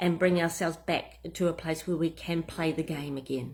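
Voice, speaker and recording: At a moderate pace, a woman talks in a fairly low voice with a New Zealand accent. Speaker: business coach. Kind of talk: tutorial. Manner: casual, some hesitations.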